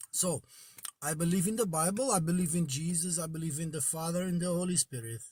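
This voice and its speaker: A man with a high pitch talks fairly quickly, his pitch moving in an ordinary way. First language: Portuguese. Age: 40s. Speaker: caller. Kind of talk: call-in debate. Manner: halting.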